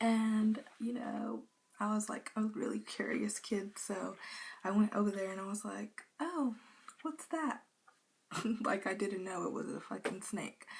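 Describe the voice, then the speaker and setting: Her pitch is fairly high and moves in an ordinary way. The woman talks at a fairly slow pace. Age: young. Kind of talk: casual storytime talk to camera. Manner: casual, chatty.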